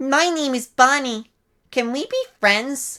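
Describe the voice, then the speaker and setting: A female-sounding, high-pitched put-on character voice at a fairly slow pace. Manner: sweet, friendly.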